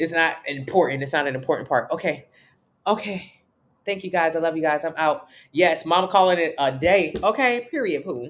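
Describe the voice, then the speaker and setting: Against a quiet background, a woman with a fairly low voice speaks in an animated tone. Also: ordinary pitch variation. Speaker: fitness coach. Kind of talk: live stream Q&A. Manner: fast.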